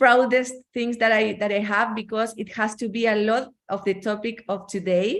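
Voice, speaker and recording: In a Chilean Spanish accent, a woman speaks with a fairly high pitch. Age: 40s. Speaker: network marketing entrepreneur. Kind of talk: testimony. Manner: halting.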